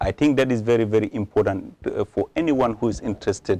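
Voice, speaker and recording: A man with an African accent speaks at a fairly quick pace and medium pitch, his dark, mellow tone heard with ordinary pitch variation in a dry, close sound with no echo. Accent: African accent, somewhat improved. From Gambia. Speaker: politician. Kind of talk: interview. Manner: halting.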